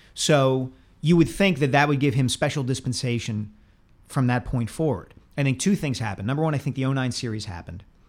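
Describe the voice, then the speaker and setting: Using an unremarkable speaking voice, a man talks at a fairly quick pace and medium pitch with ordinary pitch variation. The recording is very clean, with a silent background. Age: 40s. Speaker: sports columnist podcast co-host. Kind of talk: casual sports talk.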